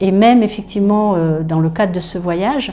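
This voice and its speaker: In a room with audible echo and noticeable background noise, a woman speaks at a moderate pace with fairly even intonation. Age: 60s. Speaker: customer giving a testimonial. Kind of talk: testimony. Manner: hesitant, many fillers and repetitions.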